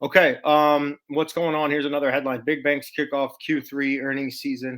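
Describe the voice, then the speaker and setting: Speaking fairly quickly in a flat monotone, a man with a fairly high voice and an American accent comes through on a very clean recording with a silent background. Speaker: stock market commentator. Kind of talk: casual market commentary video. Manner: casual, halting with fillers.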